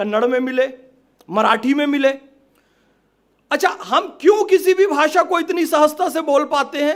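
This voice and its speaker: A man's extremely high-pitched voice broken by long, frequent pauses. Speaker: event speaker. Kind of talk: public speech.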